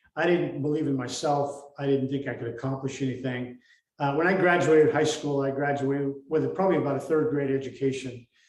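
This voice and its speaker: A man with an American accent talks at a fairly quick pace in a fairly high pitch. His intonation is monotone and flat, and audible room echo fills the recording. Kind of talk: interview. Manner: halting.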